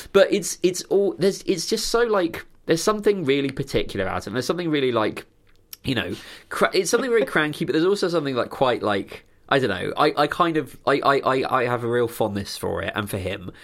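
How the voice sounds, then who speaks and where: In a very clean recording with a silent background, a man with a southern English accent talks at a very fast pace and a fairly high pitch, with very wide pitch swings and vocal fry. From southern England (Sussex countryside near Crawley). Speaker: podcast co-host. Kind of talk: casual chat. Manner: halting, many repeated words.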